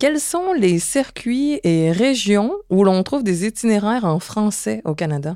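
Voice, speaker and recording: In a Quebec accent, a woman with a dark, mellow tone and medium pitch speaks at a very slow pace with hardly any pauses and very wide pitch swings, on a very clean recording with a silent background. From Quebec, Montreal. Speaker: podcast co-host. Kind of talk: travel podcast hosting, partly scripted.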